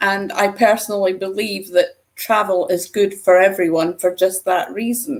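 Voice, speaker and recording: Hardly pausing at all, a woman speaks at a moderate pace with a medium pitch and fairly even intonation. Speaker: podcast host. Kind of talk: podcast interview. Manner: friendly, lighthearted.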